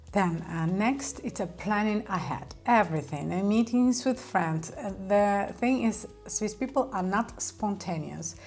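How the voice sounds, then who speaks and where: Using vocal fry, a woman speaks at a fairly slow pace. Her pitch is medium and her intonation lively. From Ukraine. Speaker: lifestyle vlogger. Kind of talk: casual vlog talk to camera. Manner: hesitant, many fillers.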